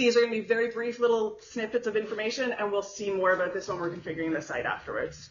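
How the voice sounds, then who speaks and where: A woman speaks at a medium pitch with ordinary pitch variation. Noticeable background noise and audible room echo fill the recording. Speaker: conference speaker. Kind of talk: technical talk. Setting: conference room with audience, no mic. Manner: fast; loud.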